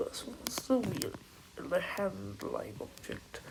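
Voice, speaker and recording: There is noticeable background noise as a woman talks at a very slow pace. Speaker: amateur voice actor. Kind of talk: casual talk to camera.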